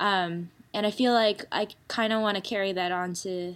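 A woman's plain, everyday voice with an American accent, medium pitch and a fairly slow pace, on a very clean recording with a silent background. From United States. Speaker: guitarist and songwriter. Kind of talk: interview.

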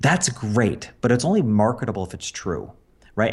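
A man speaks against a quiet background. His voice is somewhat breathy. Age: 50s. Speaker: business coach and former portrait photographer. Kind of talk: interview.

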